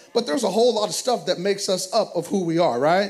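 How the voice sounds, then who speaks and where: With noticeable background noise behind him, a man with an American accent speaks in an animated tone with lively intonation. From US South. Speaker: pastor. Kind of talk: sermon. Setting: church.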